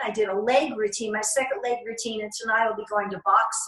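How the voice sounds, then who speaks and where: Noticeable background noise sits behind a woman speaking at a fairly quick pace in an animated tone. Her pitch varies in an ordinary way. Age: 60s. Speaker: fitness instructor. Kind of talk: interview.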